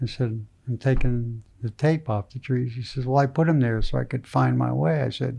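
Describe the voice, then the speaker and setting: Somewhat breathy and dark, mellow in tone, a man of medium pitch speaks with ordinary pitch variation. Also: moderate pace. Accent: American. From Pennsylvania, Wilkes-Barre area. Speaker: retired surgeon and angler. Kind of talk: casual interview. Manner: soft-spoken.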